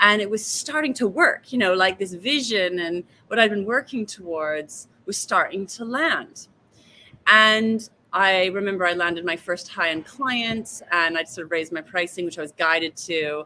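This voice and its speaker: Moderate pace from a woman at medium pitch, with lively intonation and a bright, sharp tone. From Vancouver, Canada. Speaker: wealth coach and author. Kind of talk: interview answer.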